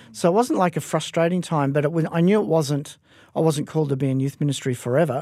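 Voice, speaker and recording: Someone with an Australian accent speaks with ordinary pitch variation on a very clean recording with a silent background. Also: man. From Western Australia, Perth. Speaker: pastor. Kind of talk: interview. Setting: studio.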